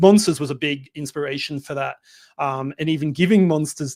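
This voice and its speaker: A man with an Australian accent, fairly high-pitched, with ordinary pitch variation and a moderate pace. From Australia, Melbourne. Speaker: film director. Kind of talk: interview. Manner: hesitant, many fillers.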